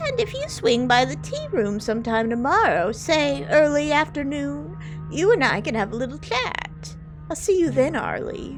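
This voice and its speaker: A put-on character voice speaks at a moderate pace. Music plays clearly in the background. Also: female-sounding voice. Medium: game stream.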